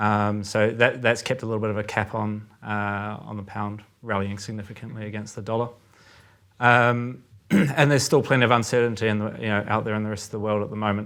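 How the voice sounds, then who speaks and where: With a New Zealand accent, a man speaks in a fairly low, monotone voice. His delivery is flat and fairly quick. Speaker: currency trader. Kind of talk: podcast discussion. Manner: many filler words and hesitations.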